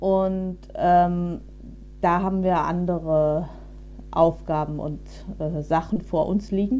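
Her voice dark and mellow, a woman talks at a fairly low pitch with monotone, flat intonation. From Berlin, Germany. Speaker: local politician. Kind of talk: political interview. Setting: video call.

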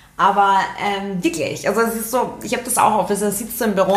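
A woman talks at a moderate pace with ordinary pitch variation, and the recording carries noticeable background noise and audible room echo. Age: 30s. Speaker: podcast co-host. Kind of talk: casual chat. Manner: animated.

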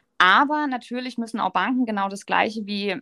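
Her tone is bright and sharp. The woman keeps a moderate pace and ordinary pitch variation. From Baden, Offenburg area. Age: 30s. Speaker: marketing agency co-founder. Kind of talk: podcast interview.

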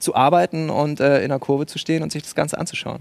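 An ordinary speaking voice at a fairly quick pace, dry and close with no echo. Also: man. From Bremen, northern Germany. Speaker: stadium announcer and writer. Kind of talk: live TV talk show discussion. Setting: studio at a live event.

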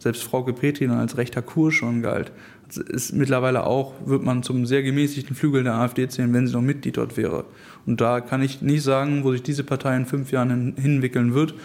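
Using a monotone, flat intonation, a man with a medium pitch speaks at a moderate pace. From Hamburg, northern Germany. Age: 20s. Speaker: young politician, law student. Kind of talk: interview.

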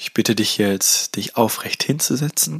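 The tone is gentle, with ordinary pitch variation. Delivery comes at a very slow pace. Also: man. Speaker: podcast host and meditation guide. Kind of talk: guided meditation. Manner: gentle, hypnotic, repetitive, second-person instructions.

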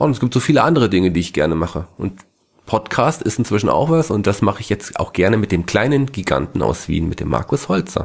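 Very fast speech comes from a man with a fairly low pitch. His voice makes very wide pitch swings. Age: 40s. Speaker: podcast co-host. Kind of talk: casual chat.

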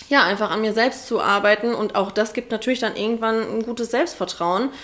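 In a plain, everyday voice, a woman talks with a fairly high pitch and ordinary pitch variation. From Ruhr area, Germany (Oberhausen). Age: 20s. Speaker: hairdresser. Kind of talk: casual interview.

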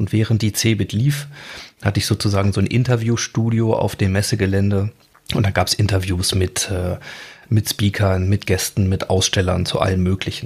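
A somewhat breathy man at a fairly low pitch and moderate pace, with fairly even intonation and very even loudness. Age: 40s. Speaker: audio biographer and podcast host. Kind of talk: interview. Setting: remote studio link call.

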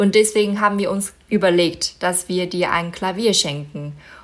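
A woman speaks with a Mandarin Chinese accent. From China, Inner Mongolia (Baotou). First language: Mandarin Chinese (speaking German). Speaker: model and concert pianist. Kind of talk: interview.

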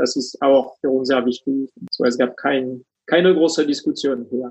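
Speaking with a French accent, a man uses a fairly high pitch and fairly even intonation at a moderate pace. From France. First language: French (speaking German). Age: 40s. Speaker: coach and finance executive. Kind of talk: interview. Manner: halting, many fillers.

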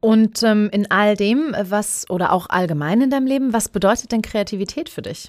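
A woman talks at a moderate pace with a fairly high pitch and hardly any pauses. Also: ordinary pitch variation. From Heidelberg, Germany (Pfaffengrund). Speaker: podcast host. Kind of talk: casual interview chat.

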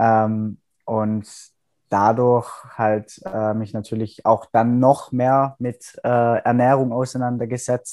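Against a quiet background, a man with a dark, mellow tone and medium pitch speaks at a very slow pace in a monotone, flat intonation. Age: 20s. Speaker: psychology student. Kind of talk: casual interview.

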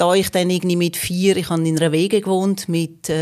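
A woman's monotone, flat delivery at medium pitch and a fairly quick pace. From northwestern Switzerland (Fricktal, Aargau). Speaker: communication scientist and lecturer. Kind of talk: interview. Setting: studio.

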